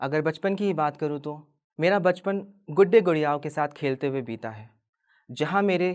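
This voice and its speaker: On a very clean recording with a silent background, a man talks at a fairly high pitch with lively intonation. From Delhi, India. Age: 20s. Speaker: androgynous model. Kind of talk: personal testimony talk.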